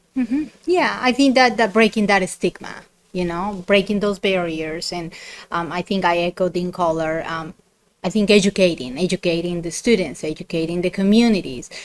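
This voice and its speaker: A Colombian accent at a moderate pace. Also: woman, medium pitch for a woman, ordinary pitch variation. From Colombia, Bogota. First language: Spanish. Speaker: university dean. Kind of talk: podcast interview.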